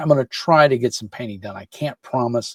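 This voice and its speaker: The voice is somewhat breathy, in a dry, close sound with no echo. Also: man. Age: 50s. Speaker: miniature painting YouTuber. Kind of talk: casual vlog talk to camera. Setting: home office. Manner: halting, many fillers.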